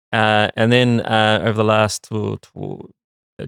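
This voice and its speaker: The speaker has a New Zealand accent. The sound is dry and close with no echo, in a very clean recording with a silent background. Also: man. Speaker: marketing executive. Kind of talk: interview. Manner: halting, many fillers.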